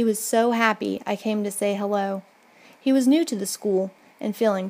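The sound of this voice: Just an unforced reading voice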